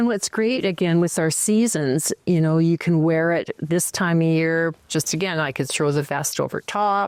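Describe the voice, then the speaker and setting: In a very clean recording with a silent background and a dry, close sound with no echo, a woman with a Canadian accent speaks fairly slowly at a fairly low pitch in an ordinary speaking voice. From Canada, northern Alberta. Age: 60s. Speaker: potter. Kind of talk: casual chat.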